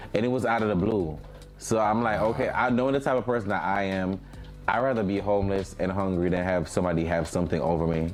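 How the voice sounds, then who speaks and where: A man with a fairly low pitch talks at a very fast pace and a very even loudness. Music plays in the background, and the room echo is audible. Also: ordinary pitch variation. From Jamaica. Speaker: music artist. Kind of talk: casual chat interview.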